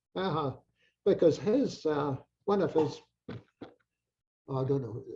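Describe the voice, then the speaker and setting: A man with a strong Scottish accent speaks fairly slowly at a fairly high pitch with lively intonation. His tone is dark, mellow and somewhat breathy. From Scotland, Peebles. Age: 80s+. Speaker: retired doctor, Burns enthusiast. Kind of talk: casual interview chat. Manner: halting, repeats words.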